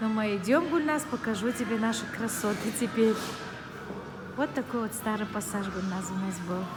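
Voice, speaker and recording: A woman keeps a moderate pace while noticeable background noise and audible room echo fill the recording. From Dagestan, Derbent (Tabasaran). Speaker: vlogger. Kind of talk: casual vlog chat while walking. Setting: outdoors and in a shopping arcade.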